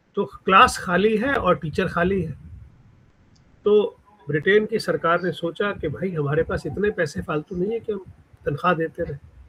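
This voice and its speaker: With a Punjabi accent, a man speaks at a high pitch with ordinary pitch variation. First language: Punjabi (speaking Hindi). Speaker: writer. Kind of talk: interview. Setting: podcast.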